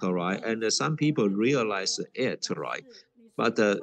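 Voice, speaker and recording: A man's medium-pitched voice at a fairly slow pace with ordinary pitch variation. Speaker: Dharma teacher giving an online talk. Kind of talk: informal spoken English with many fillers. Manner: speaks slowly.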